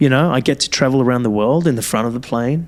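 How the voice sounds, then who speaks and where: Speaking very fast, this man keeps his voice at a medium pitch. The pitch rises and falls by an ordinary amount. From Iran, then Italy as a child, then Australia. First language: Farsi. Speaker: podcast host, self-development coach and pilot. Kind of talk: casual chat. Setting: studio, remote link with co-host. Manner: halting, conversational with many fillers.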